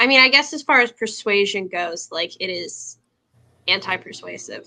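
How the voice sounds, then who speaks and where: A woman's bright, sharp voice with vocal fry and lively intonation, at a fairly slow pace against a quiet background. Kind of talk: casual group discussion.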